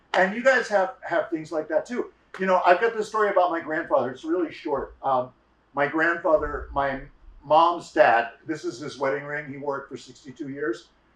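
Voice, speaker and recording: A man with a normal speaking voice talks at a moderate pace, fairly high in pitch, with lively intonation. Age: 60s. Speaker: storyteller. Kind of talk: storytelling.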